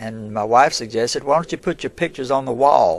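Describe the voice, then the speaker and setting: With an Alabama accent, a man talks with ordinary pitch variation. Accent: Southern US (Alabama). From US South. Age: 70s. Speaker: local historian and museum owner. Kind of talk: casual interview. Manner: halting.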